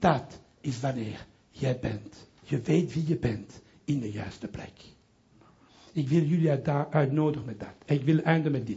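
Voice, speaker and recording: Speaking at a fairly slow pace with a strong French accent, a somewhat breathy man uses a fairly high pitch and ordinary pitch variation, with audible room echo. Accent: strong French accent in Dutch. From Belgium, Brussels (Italian family). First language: French (speaking Dutch). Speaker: pastor. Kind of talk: sermon. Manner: halting.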